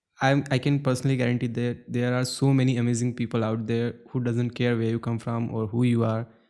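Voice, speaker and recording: Very fast and with hardly any pauses, a man speaks in a monotone, flat manner with a dark, mellow tone and medium pitch, captured on a very clean recording with a silent background. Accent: Indian. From India. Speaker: podcast host, designer. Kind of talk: podcast interview.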